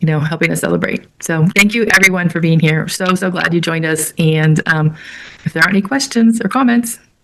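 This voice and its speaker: A woman talks at a fairly quick pace in a normal speaking voice. Her pitch is fairly low, with ordinary pitch variation. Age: 60s. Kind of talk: live web event discussion. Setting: live web event.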